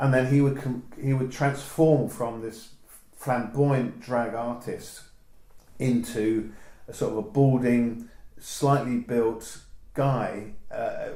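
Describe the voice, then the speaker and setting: A man with a southern English accent is heard with audible room echo and noticeable background noise. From southern England. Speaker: photographer. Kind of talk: oral history interview. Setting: home interview. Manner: halting, many restarts.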